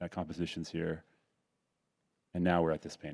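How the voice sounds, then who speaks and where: A very fast voice with a dark, mellow tone and a dry, close sound with no echo. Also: man. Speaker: painter. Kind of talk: panel discussion.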